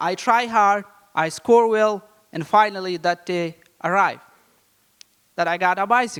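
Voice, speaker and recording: Long pauses come frequently in this speech. Between them, the pace is moderate and the pitch varies in an ordinary way. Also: man, high pitch for a man. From Afghanistan. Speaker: educator and community advocate. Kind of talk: storytelling. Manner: halting.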